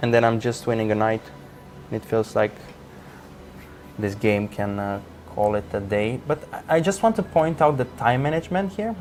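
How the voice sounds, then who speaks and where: Over music in the background, a man with a Romanian accent speaks at medium pitch and a moderate pace. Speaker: chess commentator. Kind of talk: live commentary.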